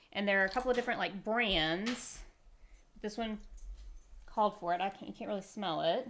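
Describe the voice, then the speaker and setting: A woman talks at a fairly quick pace in a medium pitch with ordinary pitch variation, broken by long, frequent pauses. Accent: Southern US. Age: 40s. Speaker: podcast host. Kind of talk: casual chat.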